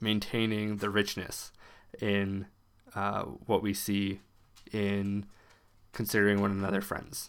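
A man's fairly low voice, monotone and flat in intonation. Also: very clean recording, silent background. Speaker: podcast host. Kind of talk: solo podcast monologue with reading aloud. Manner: slow talker.

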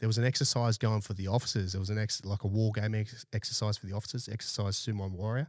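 With an Australian accent, a man speaks at a fairly low pitch with fairly even intonation in a very clean recording with a silent background. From Brisbane, Australia. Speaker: army veteran and security business owner. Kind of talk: casual interview chat. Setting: studio.

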